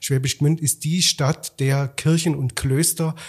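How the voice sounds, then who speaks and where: A man's fairly high-pitched, somewhat breathy voice at a moderate pace with fairly even intonation. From Swabia, Germany (Rottenburg am Neckar). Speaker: festival director and musicologist. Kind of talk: interview conversation. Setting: studio.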